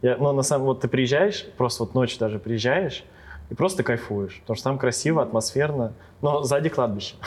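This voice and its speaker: Here is a man with a plain, everyday voice at a medium pitch. His loudness stays very even throughout. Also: ordinary pitch variation. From Ryazan region, Russia. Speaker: DJ. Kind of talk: casual chat.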